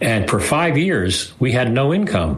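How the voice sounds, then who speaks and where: Noticeable background noise and audible room echo surround the recording. A man's pitch swings very widely. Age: 70s. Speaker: nonprofit founder and author. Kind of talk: interview. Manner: halting.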